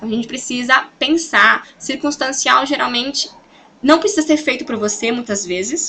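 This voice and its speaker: A woman speaks in a bright, sharp tone that is also animated. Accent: Brazilian. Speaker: sales consultant and team coach. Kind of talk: motivational training talk. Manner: fast.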